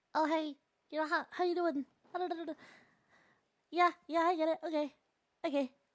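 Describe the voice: A put-on, squeaky character voice, high in pitch and monotone and flat, at a moderate pace with long, frequent pauses.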